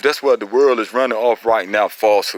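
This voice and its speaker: A man with an American accent at a medium pitch, animated in tone, with a dry, close sound and no echo. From Eastern North Carolina, Robeson County. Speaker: pit bull breeder / dog enthusiast. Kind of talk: casual heated talk in online forum. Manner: animated, repetitive.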